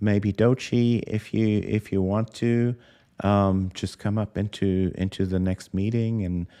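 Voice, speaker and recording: This man speaks in a non-native accent at a fairly slow pace, his fairly low voice dark and mellow, his intonation monotone and flat, with a dry, close sound, no echo and a quiet background. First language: not English. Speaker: crypto podcast host. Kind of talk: live stream interview. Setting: live stream. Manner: halting.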